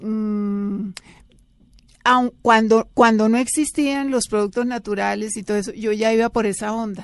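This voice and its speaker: Against a quiet background, a woman with a normal speaking voice talks at a fairly slow pace, her pitch fairly high and her intonation fairly even. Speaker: former TV actress and beauty author. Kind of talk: casual interview chat.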